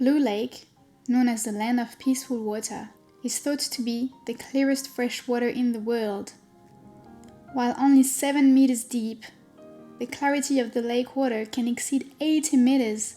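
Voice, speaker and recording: With a French accent, a woman speaks at a moderate pace in a high pitch and a monotone, flat intonation while music plays in the background. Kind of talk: travel vlog voice-over narration.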